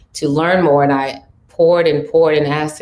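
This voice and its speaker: A woman with a very deep, low pitch talks at a fairly quick pace in a monotone, flat way. Noticeable background noise is present. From Cameroon, raised in Paris. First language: French. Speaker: talent manager. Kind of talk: panel discussion. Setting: virtual panel.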